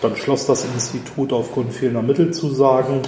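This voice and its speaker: Speaking at a fairly quick pace, a man keeps a medium pitch and fairly even intonation. Noticeable background noise and audible room echo surround him. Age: 40s. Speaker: recruitment consultant. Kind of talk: interview conversation.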